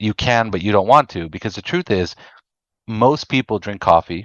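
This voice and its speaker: A man speaks in a normal speaking voice, fairly low in pitch. His intonation is lively and his pace moderate. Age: 30s. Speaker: addiction treatment executive. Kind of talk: podcast interview.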